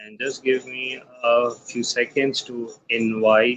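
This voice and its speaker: In a medium-pitched voice, a man speaks at a very slow pace with monotone, flat intonation. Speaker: podcast host. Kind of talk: live show host talk.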